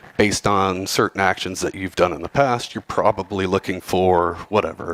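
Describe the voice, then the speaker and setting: A man's very deep, low voice with fairly even intonation, dry and close with no echo. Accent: Southern US. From Texas, Houston. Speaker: cybersecurity professional, conference speaker. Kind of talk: conference talk. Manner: casual, many fillers.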